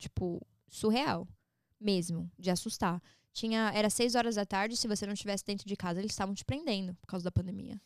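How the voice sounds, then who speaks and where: In a very clean recording with a silent background and a dry, close sound with no echo, a woman speaks at a moderate pace with medium pitch and ordinary pitch variation. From São Paulo, Brazil, raised partly in Orlando. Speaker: social media personality. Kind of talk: podcast interview, casual chat.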